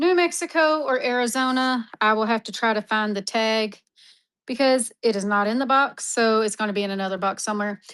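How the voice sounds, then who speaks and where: A woman's fairly high voice with an American accent and ordinary pitch variation, a normal speaking voice, in a very clean recording with a silent background. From Texas. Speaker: online mineral seller. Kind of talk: live-stream auction. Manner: casual, chatty.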